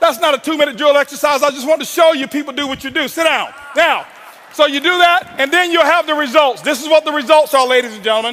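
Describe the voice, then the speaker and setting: Shouting in a raised, projected voice with an American accent, a man speaks at a very fast pace and an extremely high pitch, his tone intense and animated, his loudness swinging widely over noticeable background noise. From US South, Tampa, Florida. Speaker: motivational speaker in network marketing. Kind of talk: motivational speech. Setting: stage with audience. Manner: loud, intense, yelling; animated, passionate.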